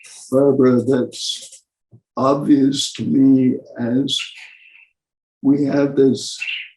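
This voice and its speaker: Long, frequent pauses break up a man's very slow delivery at medium pitch. His tone is dark and mellow, his intonation monotone and flat. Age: 80s+. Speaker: retired palliative care physician. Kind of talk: interview conversation. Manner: halting, many fillers.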